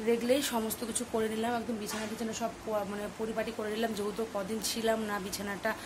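A woman with a fairly high pitch speaks in a flat, monotone way, with noticeable background noise and audible echo in the room. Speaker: home vlogger. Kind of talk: vlog chat.

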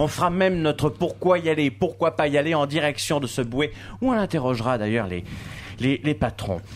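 A man speaks at a fairly high pitch with vocal fry and an animated tone, at a moderate pace. His intonation is lively, with light background noise behind him. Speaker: radio host. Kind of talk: casual chat. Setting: outdoors. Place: studio.

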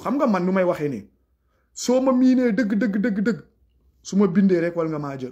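With a quiet background, a man's intonation rises and falls in a lively way. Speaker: YouTube commentator. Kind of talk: live monologue. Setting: livestream. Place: home room. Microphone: phone near.

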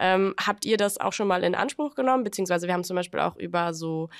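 A woman is speaking. The background is quiet. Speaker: podcast host. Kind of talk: casual interview. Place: studio. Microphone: studio mic.

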